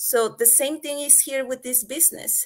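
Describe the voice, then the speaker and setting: Pitched high, a woman speaks with a Spanish accent. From Mexico. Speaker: online business partner. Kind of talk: webinar testimony.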